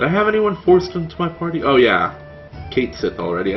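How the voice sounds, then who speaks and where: There is music in the background as a man speaks. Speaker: let's play gamer. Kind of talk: casual gameplay commentary.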